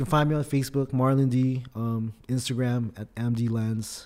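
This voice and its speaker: In a Californian accent, a man talks at a moderate pace and medium pitch with monotone, flat intonation and a dark, mellow tone, on a very clean recording with a silent background. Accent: Californian American. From Philippines, raised in California. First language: Tagalog. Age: 30s. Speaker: rapper and artist. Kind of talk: casual interview chat. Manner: relaxed, casual, conversational.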